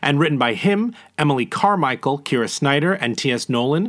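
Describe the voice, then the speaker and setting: A man with a normal speaking voice, fairly high pitch and lively intonation talks at a moderate pace in a very clean recording with a silent background. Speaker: producer. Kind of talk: scripted fun-facts segment.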